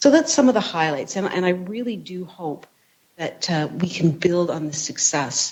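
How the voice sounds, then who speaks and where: This speaker is soft-spoken. The pace is moderate. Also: woman. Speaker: university research leader. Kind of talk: presentation speech. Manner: halting.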